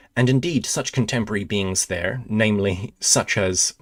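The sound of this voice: The speaker uses an unforced reading voice. The pitch moves in an ordinary way.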